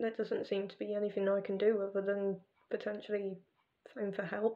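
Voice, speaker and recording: A quiet woman with an English accent, medium pitch, monotone, flat intonation, a moderate pace and big swings in loudness. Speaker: vlogger. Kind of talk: casual vlog monologue.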